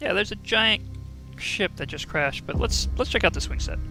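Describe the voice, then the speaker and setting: A man speaks quietly at a moderate pace. Music plays in the background. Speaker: let's play gamer. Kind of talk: casual gameplay commentary.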